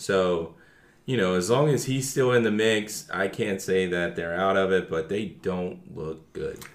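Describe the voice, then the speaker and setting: A man speaks at a fairly slow pace in a very deep, low pitch. His pitch variation is ordinary. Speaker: guest football fan. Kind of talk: casual sports chat.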